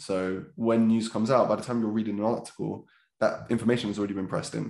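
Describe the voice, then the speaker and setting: A man talks very fast with a South London accent, medium in pitch with vocal fry. His intonation stays fairly even against a quiet background. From south London (Catford, Lewisham). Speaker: trader and trading educator. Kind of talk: casual interview.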